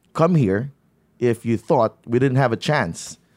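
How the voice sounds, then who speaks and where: Recorded very cleanly against a silent background, a man speaks at a fairly slow pace with ordinary pitch variation, the sound dry and close with no echo. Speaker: podcast host. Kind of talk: casual interview. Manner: halting, with many fillers.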